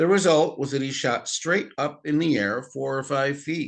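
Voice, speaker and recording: Speaking at a fairly slow pace, a man has a fairly high pitch and a plain, everyday voice. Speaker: grandfather reading aloud to children. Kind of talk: audiobook-style reading of a novel aloud.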